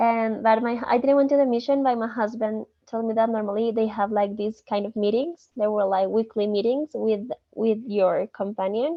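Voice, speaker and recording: Here a woman talks at a moderate pace with hardly any pauses. Her pitch is fairly high and her intonation fairly even. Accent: Spanish. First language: Spanish. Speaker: student. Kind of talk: study group discussion.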